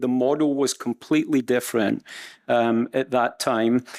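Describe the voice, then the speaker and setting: In a Scottish accent, a man speaks at medium pitch and a moderate pace, in a monotone, flat way. The recording is very clean, with a silent background, and the sound is dry and close with no echo. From Scotland. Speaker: supply chain executive. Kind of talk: panel discussion. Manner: halting.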